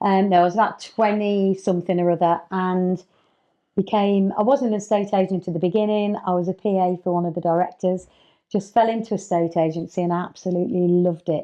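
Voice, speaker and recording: The pace is fairly quick. It's a woman talking with an English accent. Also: medium pitch for a woman, fairly even intonation. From England, working-class family of Irish parents. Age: 60s. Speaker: estate agent and mentor. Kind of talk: podcast interview. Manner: casual, conversational.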